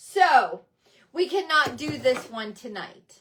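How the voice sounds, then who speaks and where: Her bright, sharp voice is animated, and this woman's pitch swings very widely. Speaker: craft livestream host. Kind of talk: live craft demo chat. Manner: loud.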